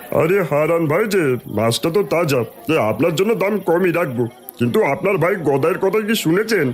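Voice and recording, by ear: Through clear background noise, a man uses a cartoonish character voice at a high pitch and a moderate pace.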